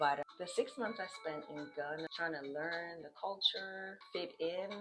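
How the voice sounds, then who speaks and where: Over music in the background, a woman with a fairly low pitch talks at a moderate pace in an animated tone, her pitch varying in an ordinary way. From Australia. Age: 30s. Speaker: vlogger. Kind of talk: casual vlog monologue.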